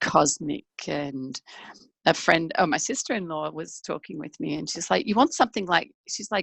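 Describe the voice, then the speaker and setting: A woman's fairly low voice with vocal fry, lively intonation, big swings in loudness and a moderate pace. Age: 60s. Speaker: transformational speaker and coach. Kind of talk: interview. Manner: animated.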